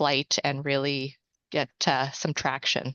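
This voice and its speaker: A woman talks with a Canadian accent at a fairly slow pace. Her pitch is very deep and low, with vocal fry. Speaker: seminar attendee asking a question. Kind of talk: Q&A question at online seminar. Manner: halting.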